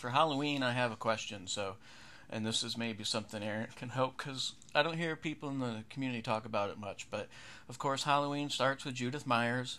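An unremarkable speaking voice with an American accent, a fairly quick pace and ordinary pitch variation. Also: man, medium pitch for a man. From western New York. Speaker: horror podcast host. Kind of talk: casual podcast commentary.

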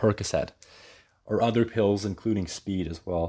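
A man with a Canadian accent talks at a moderate pace in a fairly low voice with ordinary pitch variation. The recording is very clean, the background silent. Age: 20s. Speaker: podcast host. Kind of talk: solo podcast monologue, partly read from sources.

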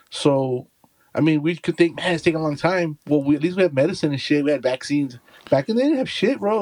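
In a very clean recording with a silent background and a dry, close sound with no echo, a man with an American accent speaks very fast at a fairly high pitch with ordinary pitch variation. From Texas. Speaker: podcast co-host. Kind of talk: casual chat.

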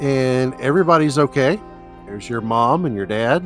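Simple read-aloud speech.

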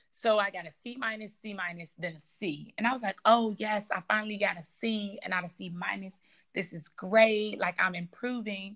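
A woman with an American accent and a normal speaking voice, medium pitch, fairly even intonation, a moderate pace and big swings in loudness. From US Midwest, south side of Chicago. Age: 20s. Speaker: aspiring surgeon. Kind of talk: interview.

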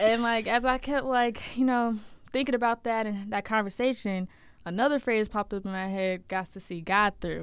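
Recorded very cleanly over a silent background, a woman with an unremarkable speaking voice talks at a moderate pace, fairly high in pitch with ordinary pitch variation. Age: young. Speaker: podcast co-host. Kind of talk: casual chat.

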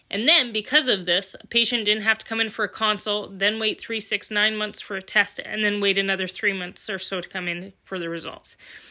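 Speaking fairly quickly with a Western Canadian accent, a woman has a medium-pitched, bright, sharp voice with ordinary pitch variation, recorded very cleanly against a silent background. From Alberta, Canada (small town). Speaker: podcast host, welder and mechanic. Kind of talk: casual monologue.

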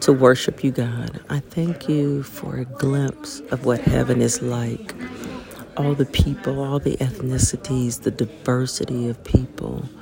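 With music playing in the background, a woman speaks in a very deep, low voice at a fairly slow pace and with fairly even intonation. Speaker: person praying. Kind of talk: fervent spoken prayer of thanks, earnest and heartfelt, addressed to God. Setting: outdoors at a mountain chapel.

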